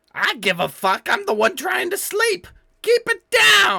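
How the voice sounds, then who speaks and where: A man puts on a character voice at an extremely high pitch. He speaks fairly slowly, with very wide pitch swings. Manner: annoyed, irritable.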